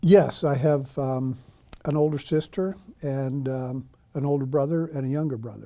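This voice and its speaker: A man speaks with a dark, mellow tone at a fairly high pitch. His intonation stays fairly even at a moderate pace. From New York, Long Island. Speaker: war journalist and author. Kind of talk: oral history interview. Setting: university studio with small audience. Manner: hesitant, many fillers.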